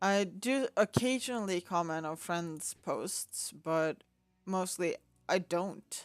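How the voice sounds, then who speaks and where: The woman speaks at a very slow pace, with medium pitch and ordinary pitch variation. The sound is dry and close, with no echo. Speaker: gaming video creator. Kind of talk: gameplay commentary with quest text read aloud. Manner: many pauses; halting reading.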